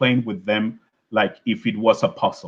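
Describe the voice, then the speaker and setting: A man speaks with a strong Venezuelan accent. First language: Spanish. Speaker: scientist giving an invited talk. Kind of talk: lecture. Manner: halting, many fillers and repetitions.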